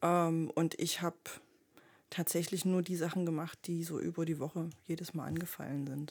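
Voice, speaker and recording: A woman with a normal speaking voice talks at a fairly low pitch and a moderate pace. The recording is very clean, with a silent background. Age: 30s. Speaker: veterinarian and club member. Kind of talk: casual chat.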